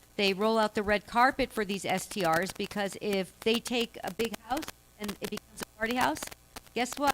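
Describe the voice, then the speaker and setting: Noticeable background noise sits behind a woman with a fairly high pitch, moderate pace and ordinary pitch variation, in a dry, close sound with no echo. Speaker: local activist speaker. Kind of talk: public Q&A. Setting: public meeting with audience. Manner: loud.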